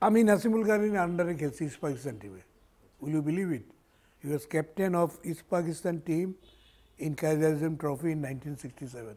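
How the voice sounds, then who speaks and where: A man's fairly high voice with a dark, mellow tone, lively intonation and big swings in loudness. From Bangladesh. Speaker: former cricket captain; former cricketer or coach. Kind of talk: interview. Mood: relaxed reminiscing. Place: home room. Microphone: lapel.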